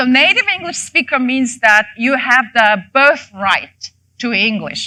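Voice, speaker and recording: A woman with a Mongolian accent speaks in a bright, sharp tone. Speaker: professor. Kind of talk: lecture. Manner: halting, many fillers.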